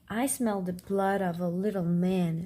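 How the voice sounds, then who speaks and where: Booming and put-on, a woman's character voice moves at a fairly slow pace with a medium pitch. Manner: menacing, thundering.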